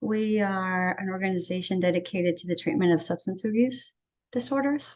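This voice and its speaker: Female speech, somewhat breathy, at a moderate pace. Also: quiet background. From Venezuela. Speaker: treatment center executive, student. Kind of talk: class introduction. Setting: video call.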